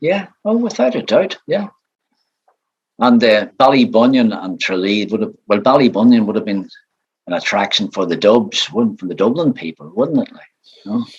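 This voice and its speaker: A man with a Northern Irish accent, very wide pitch swings and big swings in loudness. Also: medium pitch for a man, moderate pace. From Northern Ireland. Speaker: retired showband bass player. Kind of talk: interview.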